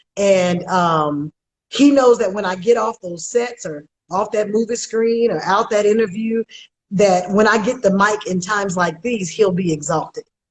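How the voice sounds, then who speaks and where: Her tone is animated, her pitch fairly high with ordinary variation. This woman speaks at a moderate pace. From Oakland, California. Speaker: actress. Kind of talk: interview. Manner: loud.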